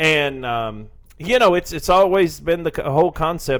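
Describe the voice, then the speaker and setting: A man speaks with a Southern US accent. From Tennessee, US South. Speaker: financial advisor. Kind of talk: radio talk interview about investing. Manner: conversational, explanatory.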